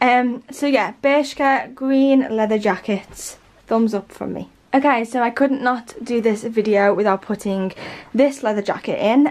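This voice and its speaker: A woman with a Liverpool accent, moderate pace and fairly even intonation. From Liverpool, England. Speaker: fashion and lifestyle YouTuber. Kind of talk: casual talk to camera. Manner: chatty, relaxed. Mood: relaxed, cheerful. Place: home room. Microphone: camera far.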